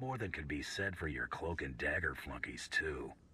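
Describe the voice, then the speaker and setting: A man's put-on character voice sits very deep and low in pitch. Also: moderate pace. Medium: video game. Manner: dry, laconic.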